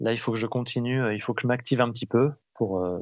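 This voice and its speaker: Using a normal speaking voice, a man talks at a fairly quick pace with a medium pitch and fairly even intonation. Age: 30s. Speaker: musician, percussionist. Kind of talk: casual chat. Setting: phone call.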